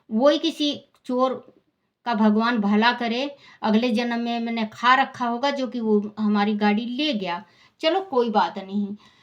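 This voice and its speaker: Here a woman speaks with a fairly high pitch. Her pitch variation is ordinary. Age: 60s. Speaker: religious storyteller. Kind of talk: personal testimony.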